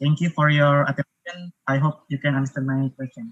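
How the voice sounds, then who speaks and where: A man speaks in an Indonesian accent with a bright, sharp tone. The sound is dry and close, with no echo. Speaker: engineering student, audience questioner. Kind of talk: audience question in webinar. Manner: hesitant, many fillers.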